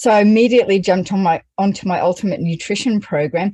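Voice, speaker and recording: Somewhat breathy with a dark, mellow tone, a woman talks at a fairly quick pace with an Australian accent over a quiet background. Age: 40s. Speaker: homeschooling mother. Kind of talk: testimony.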